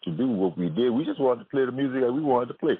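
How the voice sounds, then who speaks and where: Using a medium pitch, a man speaks with very wide pitch swings. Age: 70s. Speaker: jazz musician. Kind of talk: interview.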